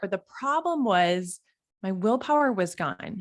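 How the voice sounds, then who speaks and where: An animated woman with a Minnesotan accent and lively intonation, on a very clean recording with a silent background. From Minnesota, US Midwest. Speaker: health and fitness coach. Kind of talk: motivational talk.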